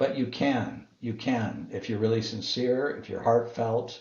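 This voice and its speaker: Fairly even intonation from a man, plus audible room echo. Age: 60s. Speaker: business executive and author. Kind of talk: interview. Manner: halting.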